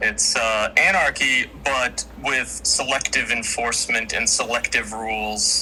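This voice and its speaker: A man with an American accent at a fairly slow pace, very even in loudness, with hardly any pauses and noticeable background noise. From United States. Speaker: debater arguing for the state. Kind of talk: debate. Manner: halting, many fillers.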